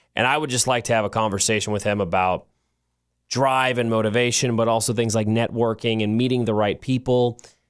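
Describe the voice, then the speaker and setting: In a very clean recording with a silent background, a man talks at a fairly quick pace in a medium-pitched voice, with fairly even intonation and very even loudness. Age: 30s. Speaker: podcast co-host. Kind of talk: casual chat. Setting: studio.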